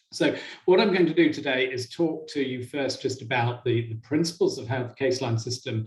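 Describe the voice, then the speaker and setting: His voice is somewhat breathy. The man's pitch is medium. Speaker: software company presenter. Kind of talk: product presentation to online audience.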